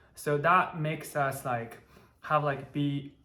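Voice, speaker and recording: A man speaks very slowly in a Chinese accent, his pitch fairly high. There is audible room echo. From China, Taiyuan. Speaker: electrical engineer, channel co-host. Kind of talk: casual chat.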